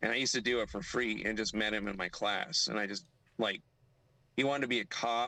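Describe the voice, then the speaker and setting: A very fast male voice with a bright, sharp tone in a very clean recording over a silent background. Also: medium pitch for a man, ordinary pitch variation. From US, Miami, Florida. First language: Spanish. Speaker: livestream guest. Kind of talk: casual chat.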